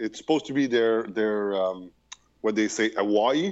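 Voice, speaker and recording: The speaker has a Quebec French accent and ordinary pitch variation. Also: man. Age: 40s. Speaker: projectionist. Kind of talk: casual chat. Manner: halting.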